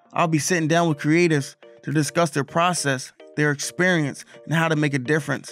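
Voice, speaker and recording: With music in the background, a man speaks at a fairly quick pace in a fairly high, monotone, flat voice at very even loudness. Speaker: wedding and portrait photographer, podcast host. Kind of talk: podcast intro.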